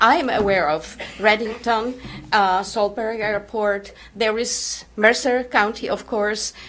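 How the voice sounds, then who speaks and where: Fairly high pitch from a woman, with fairly even intonation, fairly slow pace and noticeable background noise. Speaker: resident speaking at public meeting. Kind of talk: public comment at town meeting. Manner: loud; halting.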